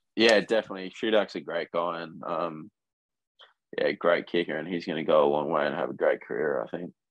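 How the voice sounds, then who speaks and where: Speaking at a fairly quick pace with an Australian accent, a man with a very deep, low voice shows ordinary pitch variation. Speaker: college football punter. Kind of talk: casual interview chat.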